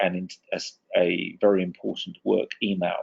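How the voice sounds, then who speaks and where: A man with an English accent speaks at a fairly slow pace, his pitch swinging very widely. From England. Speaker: communications consultant, former TV and radio reporter. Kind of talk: webinar presentation. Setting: online webinar.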